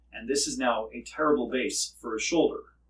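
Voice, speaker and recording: Speaking at a fairly slow pace, a man talks. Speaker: myofascial release therapist. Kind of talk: educational explainer with demonstration.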